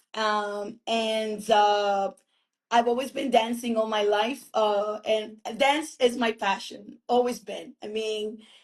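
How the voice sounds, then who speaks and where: The speech moves at a very slow pace. Its intonation stays fairly even. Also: woman, fairly high pitch for a woman. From Dominican, raised in Brooklyn, New York from age ten. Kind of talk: interview.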